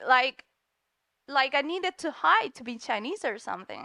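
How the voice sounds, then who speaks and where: In a very clean recording with a silent background and a dry, close sound with no echo, a woman uses a raised, projected voice with a bright, sharp tone and lively intonation. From Spain. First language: Spanish. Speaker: comic artist. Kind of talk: panel conversation. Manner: halting.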